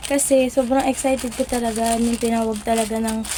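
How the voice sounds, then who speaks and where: Against noticeable background noise, a woman talks at a moderate pace in a high voice. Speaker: affiliate content creator. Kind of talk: unboxing product review. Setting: at home in bedroom. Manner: animated.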